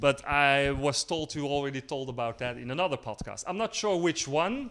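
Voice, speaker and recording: On a very clean recording with a silent background, a man in a Dutch accent speaks at a moderate pace with a fairly high pitch and ordinary pitch variation. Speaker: podcast host. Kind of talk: casual interview. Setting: live in a gallery. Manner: halting.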